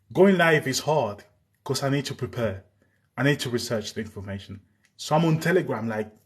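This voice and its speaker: Somewhat breathy and at medium pitch, a man talks at a fairly quick pace with lively intonation against a quiet background. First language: Spanish. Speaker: live streamer on war news. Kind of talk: live stream chat. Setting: live stream.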